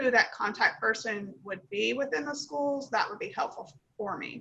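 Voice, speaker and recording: A woman speaks with a Kentucky accent. Her pitch varies in an ordinary way. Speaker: nonprofit founder. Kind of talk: Q&A after pitch.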